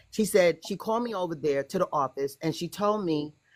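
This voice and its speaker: A woman with an unremarkable speaking voice and an American accent talks at a fairly quick pace in a fairly low pitch with lively intonation, on a very clean recording with a silent background. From United States. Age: 60s. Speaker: guest telling personal story. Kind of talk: testimony.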